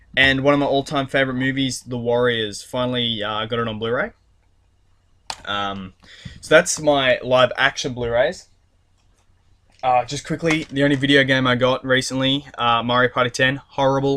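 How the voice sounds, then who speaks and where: A man with a medium-pitched voice speaks with long, frequent pauses. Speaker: YouTuber doing a haul video. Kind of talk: casual vlog monologue. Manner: fast; hesitant, many fillers.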